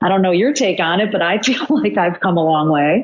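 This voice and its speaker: This woman has an ordinary speaking voice of medium pitch. She talks at a moderate pace. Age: 60s. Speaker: coaching client. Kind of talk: casual chat.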